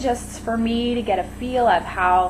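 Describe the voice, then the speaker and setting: Noticeable noise fills the background. Against it, a woman talks with ordinary pitch variation. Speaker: beauty vlogger. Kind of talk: casual vlog monologue. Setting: home kitchen. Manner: halting, rambling with fillers.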